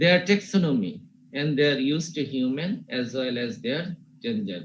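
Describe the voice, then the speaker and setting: The voice moves through very wide pitch swings at a fairly slow pace, with audible room echo. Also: man. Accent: Bengali. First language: Bengali. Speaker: university teacher. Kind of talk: lecture. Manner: slow, repetitive.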